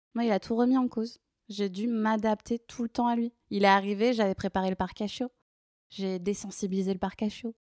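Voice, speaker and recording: Speaking at a moderate pace with flat, monotone intonation, a woman with a fairly high pitch is heard in a very clean recording with a silent background and a dry, close sound with no echo. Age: 30s. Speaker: dog trainer and dog walker. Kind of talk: interview.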